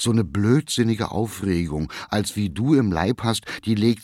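This is a natural voice reading aloud. The pitch rises and falls by an ordinary amount.

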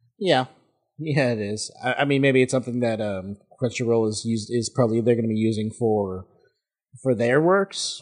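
A man's plain, everyday voice at medium pitch, moderate pace, and ordinary pitch variation. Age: 20s. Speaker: podcaster, guest co-host. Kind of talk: casual chat.

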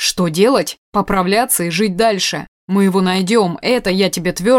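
Quiet background behind an unforced reading voice

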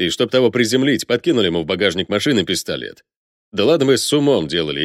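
Lively intonation shapes this plain reading aloud. Nothing intrudes from the quiet background.

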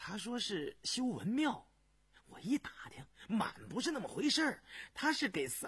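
A man puts on a character voice, high-pitched with big pitch swings, a fairly bright tone and a husky, rough edge, moving at a moderate pace.

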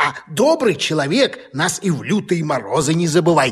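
A man's put-on character voice, fairly high in pitch, with a husky, rough edge, big pitch swings and a moderate pace

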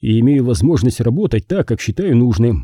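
Natural reading voice, nothing more

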